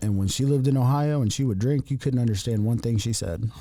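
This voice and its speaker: In an Appalachian accent, a man speaks with a dark, mellow tone at a medium pitch, with ordinary pitch variation. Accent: Appalachian ridge runner speech. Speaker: podcast co-host. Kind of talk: casual chat. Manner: halting, many fillers.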